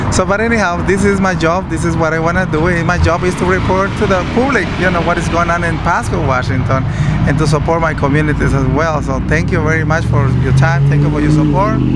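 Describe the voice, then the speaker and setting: A man talks at a very fast pace with hardly any pauses and very even loudness, amid audible room echo and noticeable background noise. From Mexico or Latin America. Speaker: community reporter. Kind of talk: street interview.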